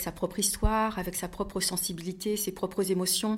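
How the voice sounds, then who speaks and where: The woman's pitch is medium for her, and her intonation fairly even. She keeps a moderate pace. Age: 50s. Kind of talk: testimony. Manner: halting.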